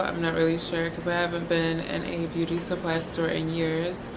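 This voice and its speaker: A woman with a fairly low pitch speaks in a monotone, flat intonation, with audible room echo and noticeable background noise. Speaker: beauty vlogger. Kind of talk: product review. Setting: hostel room. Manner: casual.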